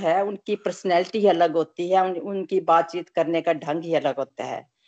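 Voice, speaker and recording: Recorded dry and close with no echo, a woman speaks in a plain, everyday voice. Her pitch is fairly low and her intonation fairly even. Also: hardly any pauses. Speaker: satsang participant. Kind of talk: group discussion. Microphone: poor connection.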